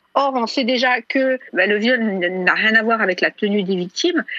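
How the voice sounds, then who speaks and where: Her pitch is fairly high and varies in an ordinary way, and this woman has a plain, everyday voice. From France. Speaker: feminist writer. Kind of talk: interview.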